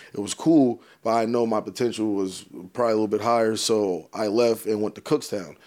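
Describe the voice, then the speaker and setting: The recording is very clean, with a silent background. A man with a normal speaking voice talks at a fairly quick pace in an American accent with fairly even intonation. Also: medium pitch for a man. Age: 20s. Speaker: football coach. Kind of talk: casual chat.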